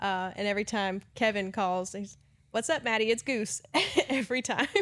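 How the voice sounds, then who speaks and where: Over a very clean recording with a silent background, a woman with a Southern accent speaks at a medium pitch and a moderate pace. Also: ordinary pitch variation. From US South. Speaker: customer service manager. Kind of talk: casual chat.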